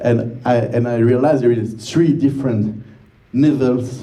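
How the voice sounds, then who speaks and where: Audible room echo surrounds a man with a medium pitch and a dark, mellow tone. His voice is somewhat breathy, with fairly even intonation. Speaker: film director. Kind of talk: Q&A interview. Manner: halting.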